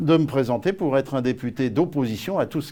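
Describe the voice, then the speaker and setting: At a fairly quick pace, a man delivers his lines. He has a medium pitch. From Paris region, France. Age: 70s. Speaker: parliamentary candidate. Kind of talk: interview. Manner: hesitant, many fillers.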